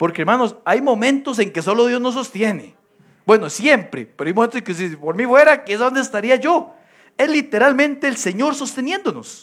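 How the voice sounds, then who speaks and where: A man's extremely high voice at a moderate pace, with lively intonation. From Costa Rica. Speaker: pastor. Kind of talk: sermon. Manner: animated.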